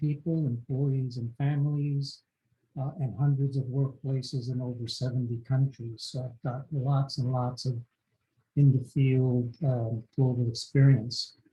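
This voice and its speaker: A somewhat breathy man talks at a moderate pace and medium pitch, his tone dark and mellow and his intonation monotone and flat. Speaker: physician and consultant. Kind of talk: panel discussion.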